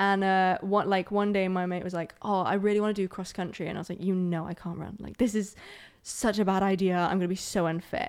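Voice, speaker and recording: On a very clean recording with a silent background, a woman speaks in a monotone, flat way. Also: medium pitch for a woman, fairly quick pace. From Scotland. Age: 20s. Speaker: musician. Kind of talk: interview. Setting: studio.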